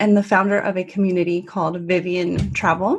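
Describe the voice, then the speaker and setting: The voice is somewhat breathy, in a Californian accent. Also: woman. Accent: Californian American. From US, Northern California. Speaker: travel community founder. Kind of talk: podcast interview.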